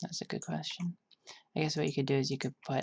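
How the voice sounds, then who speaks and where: A woman whispers in a soft-spoken, relaxed tone. Her voice is somewhat breathy. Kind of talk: ASMR soft-spoken design walkthrough. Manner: soft-spoken, whispered; sleepy, relaxed.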